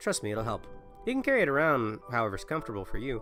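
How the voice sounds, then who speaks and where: Music can be heard behind him. The man's intonation is lively. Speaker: livestreamer. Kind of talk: reading game dialogue aloud on a livestream.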